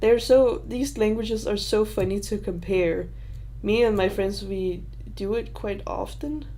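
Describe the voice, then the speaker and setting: A woman speaks at a fairly slow pace with a Danish accent. There is audible room echo around her voice. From Denmark. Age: 20s. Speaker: YouTuber. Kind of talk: livestream Q&A. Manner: halting.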